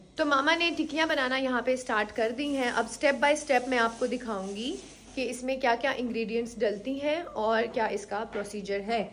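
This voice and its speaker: A woman speaks at a moderate pace in a high pitch with ordinary pitch variation, leaving hardly any pauses. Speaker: vlogger. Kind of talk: casual vlog talk. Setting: at home.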